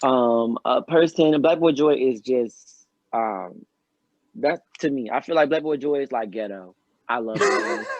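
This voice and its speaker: With an American accent, a man speaks at a fairly slow pace in a fairly high voice with lively intonation. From US South, Pensacola, Florida. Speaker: recording artist, singer-songwriter. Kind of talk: podcast interview, casual chat. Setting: studio, in person with hosts. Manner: halting, many fillers and restarts.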